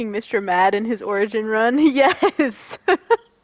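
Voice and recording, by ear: The voice sounds natural. It belongs to someone reading a text aloud.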